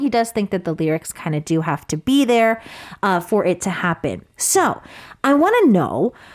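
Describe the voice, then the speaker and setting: Delivered at a moderate pace, this voice has an animated, cheerful tone and very wide pitch swings on a very clean recording with a silent background. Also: woman. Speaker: radio host. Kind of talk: radio interview, bilingual English and Korean. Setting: studio.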